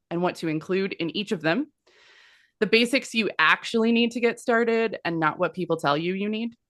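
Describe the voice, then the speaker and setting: With lively intonation and an unremarkable speaking voice, a woman talks at a moderate speed. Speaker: business consultant. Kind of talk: webinar presentation.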